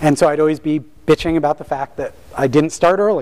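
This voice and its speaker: With noticeable background noise behind him, a man talks at a moderate pace in a fairly high pitch, with ordinary pitch variation. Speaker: system administrator, author and speaker. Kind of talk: talk to an audience. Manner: many fillers (um, uh).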